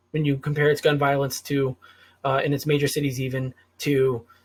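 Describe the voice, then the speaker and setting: A somewhat breathy man's voice, fairly high-pitched, with an American accent. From US Northeast, Rhode Island. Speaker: political commentary vlogger. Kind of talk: unscripted solo monologue. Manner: hesitant, filler-heavy, some stuttering.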